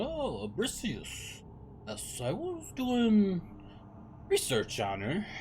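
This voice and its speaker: A put-on character voice speaks at a very slow pace with long, frequent pauses. Background noise is clear. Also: man, high pitch for a man. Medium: actual play. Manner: hesitant, rambling.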